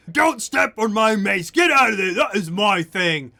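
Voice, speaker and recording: The man puts on a character voice pitched high. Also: moderate pace. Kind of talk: coarse. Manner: shouting and angry.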